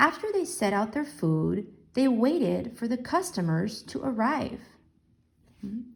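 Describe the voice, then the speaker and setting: A woman with vocal fry speaks at a fairly slow pace in a fairly high pitch that swings very widely. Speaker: elementary school teacher. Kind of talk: lesson with reading aloud. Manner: slow, explanatory.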